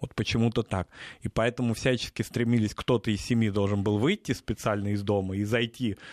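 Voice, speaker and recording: Fairly low in pitch, a man with a normal speaking voice talks at a fairly quick pace with fairly even intonation. The sound is dry and close with no echo, over a quiet background. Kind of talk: casual chat. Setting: studio.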